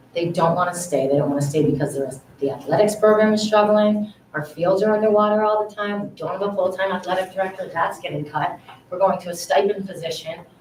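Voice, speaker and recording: A woman at a medium pitch and a very fast pace with ordinary pitch variation, amid audible room echo and noticeable background noise. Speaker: parent speaking at public comment. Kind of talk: public comment at school committee meeting. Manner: animated.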